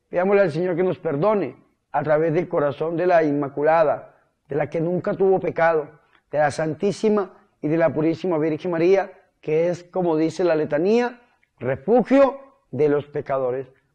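Against a quiet background, a man talks at a moderate pace. His pitch is fairly high, with ordinary pitch variation. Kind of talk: sermon. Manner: earnest, fervent preaching; direct, exhortative address. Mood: devout, fervent.

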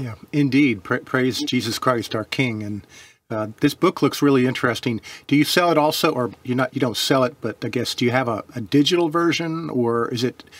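At a moderate pace, a man talks with ordinary pitch variation in a dry sound with no echo. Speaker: religious teacher co-host. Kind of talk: interview conversation.

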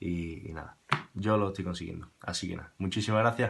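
Over noticeable background noise, a man speaks fairly quickly at a fairly low pitch with fairly even intonation. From Andalusia, Spain (Seville). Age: 20s. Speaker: musician. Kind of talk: testimonial. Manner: halting, repeats words. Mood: warm, grateful. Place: home room. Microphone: webcam.

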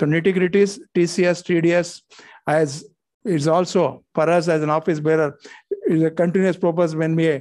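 A man keeps his intonation fairly even and his pace moderate against a quiet background. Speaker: guest. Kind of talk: welcome speech. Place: hall. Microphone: podium.

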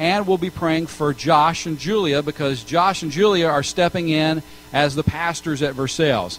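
This man speaks at a moderate pace with ordinary pitch variation. Light background noise can be heard. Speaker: pastor. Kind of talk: sermon announcements to congregation. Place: church.

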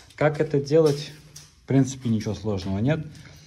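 With light background noise behind him, a man speaks fairly quickly in a dark, mellow, somewhat breathy tone with ordinary pitch variation. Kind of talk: tutorial. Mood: ironic, critical. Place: home room. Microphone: phone near.

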